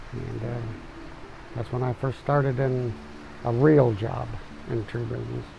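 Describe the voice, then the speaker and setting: Noticeable background noise sits behind this recording. A man with a US Midwestern accent and a medium pitch talks at a moderate pace. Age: 60s. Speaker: tree service business owner. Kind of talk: documentary interview.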